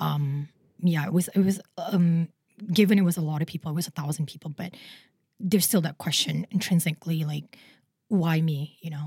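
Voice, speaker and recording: A woman speaks with a dark, mellow tone, somewhat breathy and fairly low in pitch, in a dry, close sound with no echo. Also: fairly even intonation. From Indonesia. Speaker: product designer. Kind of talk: interview. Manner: halting, with many fillers.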